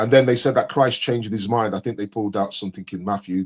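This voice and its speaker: A man with an English accent, in a dry, close sound with no echo against a quiet background. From England. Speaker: caller on live debate stream. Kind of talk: casual debate discussion. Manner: hesitant, many fillers.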